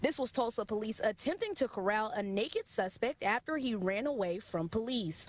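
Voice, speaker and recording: Speaking in an ordinary speaking voice, a woman with a fairly high pitch keeps a moderate pace and lively intonation with hardly any pauses. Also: dry, close sound with no echo. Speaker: local TV news reporter. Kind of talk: TV news reporting, live shots and packages.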